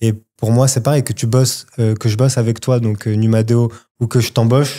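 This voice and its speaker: The very clean recording, with its silent background, carries a man's dark, mellow tone and monotone, flat intonation. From Morocco (Casablanca). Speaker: entrepreneur. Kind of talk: casual chat. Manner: casual, halting with fillers.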